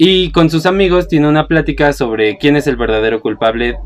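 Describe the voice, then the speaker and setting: Music plays in the background. The speaker talks at a fairly quick pace with lively intonation. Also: man. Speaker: film podcast host. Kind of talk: casual chat.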